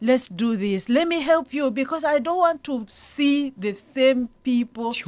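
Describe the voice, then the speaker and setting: A fairly slow voice with lively intonation, speaking with a Ugandan accent. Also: woman, high pitch for a woman. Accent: Ugandan, non-South African. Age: 40s. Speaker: property investor and psychologist. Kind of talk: radio interview.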